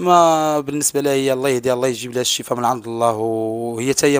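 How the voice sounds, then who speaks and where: Against a quiet background, a man talks at a fairly quick pace with fairly even intonation in a dry sound with no echo. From Morocco. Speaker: brother of missing woman, content creator; content creator. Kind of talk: interview testimony. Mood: earnest, sorrowful. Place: home room. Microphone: handheld.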